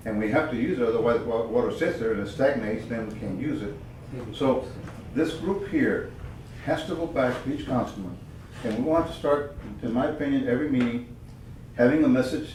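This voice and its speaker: Speaking with an American accent, a man talks at a fairly quick pace and a medium pitch. Audible room echo and noticeable background noise fill the recording. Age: 70s. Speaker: committee member. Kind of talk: committee meeting discussion. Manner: animated.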